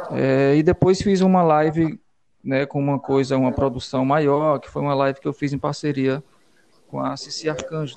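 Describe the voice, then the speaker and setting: Against noticeable background noise, a man with a fairly high pitch speaks at a fairly slow pace with fairly even intonation. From Piauí, Brazil (Valença). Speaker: musician and songwriter. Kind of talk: radio interview. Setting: radio studio.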